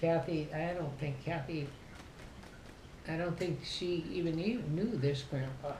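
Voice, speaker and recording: A woman speaks at a fairly slow pace in an Upper Midwest accent, with long, frequent pauses. Her fairly low voice has ordinary pitch variation and audible room echo. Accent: Upper Midwest American. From southern Minnesota. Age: 80s+. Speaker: family elder interviewee. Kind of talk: casual chat.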